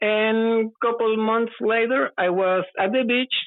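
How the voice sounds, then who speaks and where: A very slow pace in a Spanish accent. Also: woman. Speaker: UFO witness. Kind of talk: testimony. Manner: halting.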